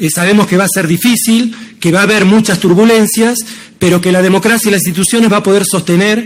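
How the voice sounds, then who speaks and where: Here a man talks at a fairly quick pace. His pitch is high, with ordinary variation. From Argentina. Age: 60s. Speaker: professor and civil servant. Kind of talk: conference talk.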